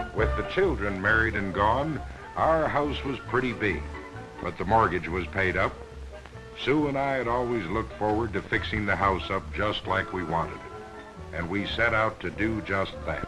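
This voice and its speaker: Over music in the background, a man speaks at a moderate pace in a fairly low pitch and a relaxed tone, his pitch swinging very widely. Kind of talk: promotional film narration. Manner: relaxed, contented.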